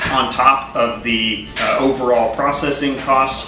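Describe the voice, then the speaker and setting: Clear music plays in the background as a man talks with fairly even intonation and audible room echo. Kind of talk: casual explainer. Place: kitchen. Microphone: camera far.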